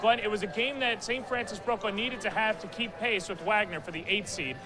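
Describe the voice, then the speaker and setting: Over noticeable background noise, a man with a high pitch uses a raised, projected voice and lively intonation. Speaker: sports play-by-play announcer. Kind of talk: live basketball play-by-play commentary.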